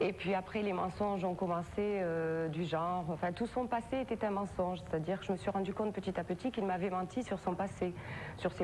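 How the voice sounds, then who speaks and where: A woman with a slight Perpignan accent talks at a fairly quick pace and medium pitch, with fairly even intonation and very even loudness. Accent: slight southern French (Perpignan). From southern France, Perpignan area. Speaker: talk show guest, victim of a compulsive liar. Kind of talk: TV interview testimony. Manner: halting, many hesitations.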